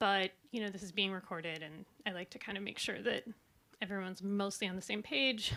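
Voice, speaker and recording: An American accent with a bright, sharp tone, on a very clean recording with a silent background. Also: woman. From US West Coast, Silicon Valley. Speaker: researcher and artist presenting. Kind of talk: conference presentation. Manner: fast when nervous; hesitant with many fillers.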